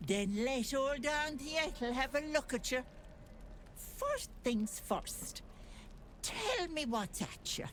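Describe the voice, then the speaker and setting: A put-on character voice, high in pitch, speaks at a very slow pace with long, frequent pauses. Background noise comes through clearly. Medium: video game.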